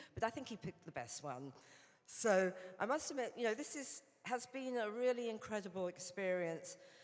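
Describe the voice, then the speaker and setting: With a British accent, a woman talks fairly quickly in a fairly high voice with lively intonation. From England. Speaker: Rotary director and former journalist. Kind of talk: conference speech. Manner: hesitant, many fillers.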